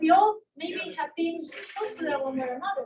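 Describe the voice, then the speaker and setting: At a moderate pace, a woman speaks with an extremely high pitch and ordinary pitch variation. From Venezuela. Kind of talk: panel discussion.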